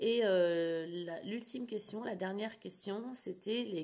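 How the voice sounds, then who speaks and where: A woman speaks at a fairly slow pace, her pitch medium and varying in an ordinary way. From France, childhood abroad in the Middle East. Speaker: scrapbooking vlogger. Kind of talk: casual vlog chat. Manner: hesitant, many fillers.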